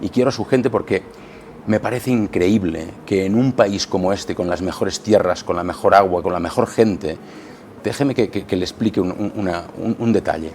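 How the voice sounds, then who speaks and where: A man speaks at a fairly low pitch with ordinary pitch variation. Noticeable background noise is present. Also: moderate pace. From Catalonia, Spain. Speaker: politician. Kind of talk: radio interview. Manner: halting, many repetitions.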